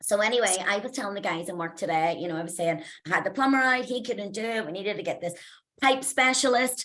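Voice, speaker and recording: A woman talks very fast in a bright, sharp tone at a medium pitch. Her intonation is lively. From Northern Ireland, Belfast. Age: 40s. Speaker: mindset coach. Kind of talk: motivational talk. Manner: casual, chatty.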